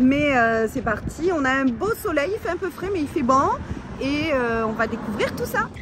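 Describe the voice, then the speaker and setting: A woman's high-pitched voice with very wide pitch swings at a fairly slow pace, music in the background. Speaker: travel vlogger. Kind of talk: casual travel vlog narration.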